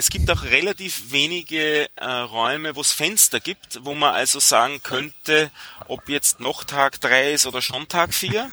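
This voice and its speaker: A man talks at a fairly high pitch and a fairly slow pace. The sound is dry and close with no echo, with noticeable background noise. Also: ordinary pitch variation. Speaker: software developer. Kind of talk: casual chat.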